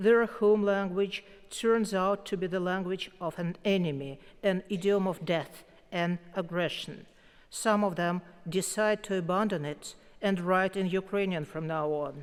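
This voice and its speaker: With a Russian accent, the speaker keeps a fairly even intonation. The pace is fairly slow. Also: woman, medium pitch for a woman. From Russia, Moscow. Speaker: poet, award winner. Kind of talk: acceptance speech. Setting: concert hall stage with audience.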